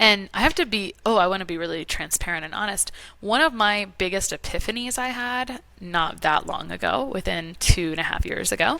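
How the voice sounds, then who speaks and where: Bright and sharp in tone, a woman speaks at a medium pitch and a fairly quick pace, her intonation lively and her tone animated. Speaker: holistic nutrition practitioner. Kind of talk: interview conversation. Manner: fast.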